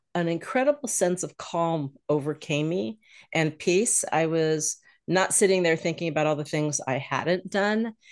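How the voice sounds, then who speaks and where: At a moderate pace, a woman with a plain, everyday voice and fairly low pitch speaks with lively intonation. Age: 60s. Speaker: retired financial advisor. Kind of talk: casual interview chat.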